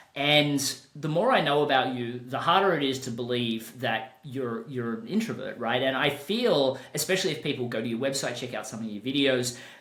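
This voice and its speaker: Over noticeable background noise and audible room echo, a man talks at a moderate pace with hardly any pauses. His pitch is medium, with ordinary pitch variation. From Australia. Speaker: podcast host and business coach. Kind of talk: podcast interview.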